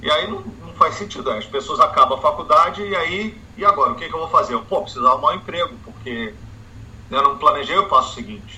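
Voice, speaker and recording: A man races along at a very fast pace as noticeable background noise fills the recording. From Brazil. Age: 40s. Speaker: economics professor. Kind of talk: interview.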